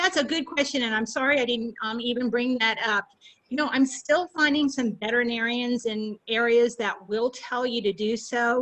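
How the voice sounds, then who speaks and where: With ordinary pitch variation, this woman's voice sits high in pitch. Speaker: pet safety instructor. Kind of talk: webinar presentation and Q&A. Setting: video call webinar. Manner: fast.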